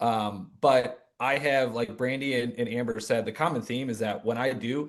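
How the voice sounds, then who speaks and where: This is an unremarkable speaking voice, a man with an American accent. His pitch is medium and his intonation fairly even. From Michigan. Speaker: real estate agent, former teacher. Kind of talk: video call panel discussion.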